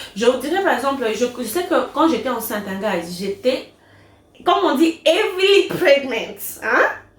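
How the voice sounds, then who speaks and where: Noticeable background noise surrounds a woman with a high pitch and an animated tone. She speaks at a fairly slow pace with very wide pitch swings. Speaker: vlogger and online business owner. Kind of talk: casual vlog Q&A.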